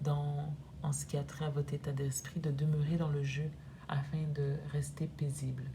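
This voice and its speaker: A woman's very deep, low voice, monotone and flat, at a very slow pace. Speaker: energy therapist. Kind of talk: oracle card reading to camera.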